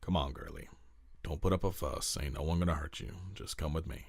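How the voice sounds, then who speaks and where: Using a put-on character voice, a man speaks at a fairly quick pace in a raspy, very deep, low register. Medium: read story. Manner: halting, hesitant.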